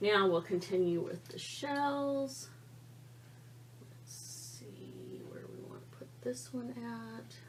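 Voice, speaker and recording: Very slow speech with big swings in loudness over noticeable background noise. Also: woman. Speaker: art tutorial creator. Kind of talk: tutorial. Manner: quiet; casual, halting.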